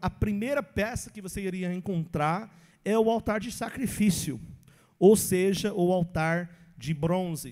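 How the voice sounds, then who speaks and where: A man's high-pitched, dark, mellow voice in an English accent with ordinary pitch variation. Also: very clean recording, silent background. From English-speaking country. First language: English (speaking Portuguese). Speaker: pastor. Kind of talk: Bible teaching.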